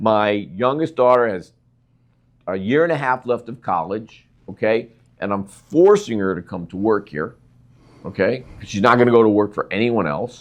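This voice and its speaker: A man with an ordinary speaking voice talks at a fairly low pitch and a moderate pace against a quiet background. His intonation is lively, and his loudness swings widely. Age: 60s. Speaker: podcast host. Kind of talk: interview.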